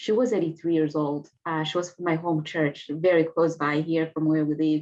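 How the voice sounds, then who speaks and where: A woman with a Rwandan accent and a very deep, low pitch, dark, mellow in tone, with fairly even intonation. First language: Kinyarwanda. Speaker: genocide survivor and author. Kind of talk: interview testimony. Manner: halting.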